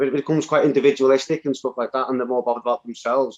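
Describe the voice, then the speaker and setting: With a northwest English accent, a man speaks at a medium pitch. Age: 40s. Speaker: community activist. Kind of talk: interview. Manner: halting, many repeated words.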